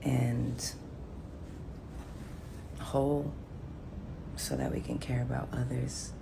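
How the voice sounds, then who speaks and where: Soft-spoken, a woman talks at a very slow pace against noticeable background noise. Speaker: singer and pianist, musician. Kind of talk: casual talk to camera, reflective personal monologue. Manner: soft-spoken, calm, gentle.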